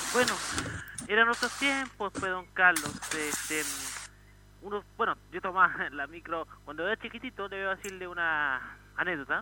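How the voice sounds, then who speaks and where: Raised and projected, a man's high-pitched voice moves at a moderate pace with lively intonation. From Santiago, Chile. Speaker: caller. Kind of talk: phone-in chat.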